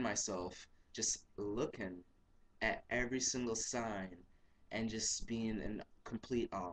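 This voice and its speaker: A man at a fairly slow pace. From Jamaica. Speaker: language learner vlogger. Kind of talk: casual self-introduction vlog. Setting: webcam recording.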